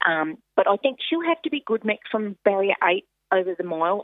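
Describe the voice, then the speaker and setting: In an Australian accent, a woman speaks at a moderate pace with ordinary pitch variation. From Australia, Queensland. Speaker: harness racing driver and trainer. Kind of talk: phone interview.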